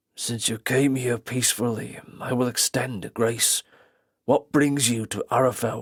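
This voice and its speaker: In a gruff, raspy put-on character voice, a man speaks fairly slowly with monotone, flat intonation. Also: medium pitch for a man, dry, close sound with no echo. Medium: read story. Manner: curt, gruff.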